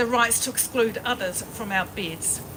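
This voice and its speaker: A woman with a New Zealand accent talks at a moderate pace in a high pitch. Noticeable noise sits in the background. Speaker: protest organiser. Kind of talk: protest speech. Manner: partly read aloud.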